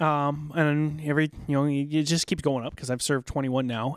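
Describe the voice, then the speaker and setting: A man's flat, monotone delivery on a very clean recording with a silent background. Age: 40s. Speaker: war veteran. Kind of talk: casual chat. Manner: fast; loud.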